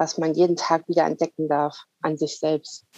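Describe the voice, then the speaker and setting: In a dry, close recording with no echo, a woman speaks at a very deep, low pitch with a dark, mellow tone and monotone, flat intonation. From northern Germany, Wilhelmshaven. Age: 30s. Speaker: coach. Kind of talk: interview.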